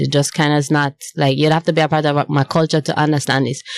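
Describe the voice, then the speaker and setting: In a Jamaican accent, the words come at a very fast pace, with a dry, close sound and no echo. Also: woman. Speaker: singer-songwriter. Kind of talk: radio interview. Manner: halting.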